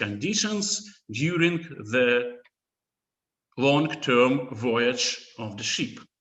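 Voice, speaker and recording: Audible room echo follows a man as he talks at a very slow pace. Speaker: conference presenter. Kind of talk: conference talk. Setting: online conference. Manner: halting, many fillers.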